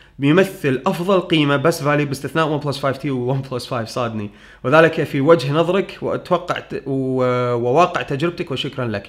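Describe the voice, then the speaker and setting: Over a quiet background, a man with a fairly high pitch talks at a moderate pace with hardly any pauses and ordinary pitch variation. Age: 30s. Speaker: tech YouTuber. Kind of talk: Q&A answering viewer questions. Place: home room.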